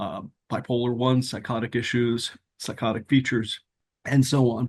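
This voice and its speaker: Against a quiet background, a man speaks at medium pitch and moderate pace with fairly even intonation and a dry, close sound with no echo. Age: 60s. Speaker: memoir author. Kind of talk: interview. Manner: hesitant, many fillers.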